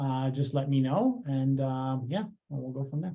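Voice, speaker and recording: A man's plain, everyday voice, fairly high in pitch, with fairly even intonation and a moderate pace. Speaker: meetup organizer and tech tutor. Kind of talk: online meetup presentation. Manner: many filler words (uh, um).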